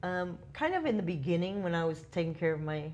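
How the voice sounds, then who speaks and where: A woman talks at a fairly quick pace. Her intonation is fairly even, and the room echo is audible. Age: 60s. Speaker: club communications director. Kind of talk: interview. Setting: user conference.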